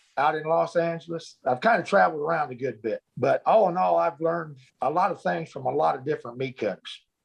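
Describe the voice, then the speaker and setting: A man with an American accent talks at a fairly quick pace in a fairly high pitch, with a normal speaking voice. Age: 60s. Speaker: butcher. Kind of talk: casual interview.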